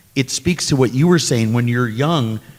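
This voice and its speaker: At a moderate pace, a man uses a plain, everyday voice with lively intonation. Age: 60s. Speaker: panelist. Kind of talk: panel discussion.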